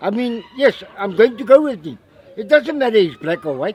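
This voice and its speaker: Crowd noise fills the background as a man talks with very wide pitch swings. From South Africa, Limpopo (Warmbad). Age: 60s. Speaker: squatter camp resident. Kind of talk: interview.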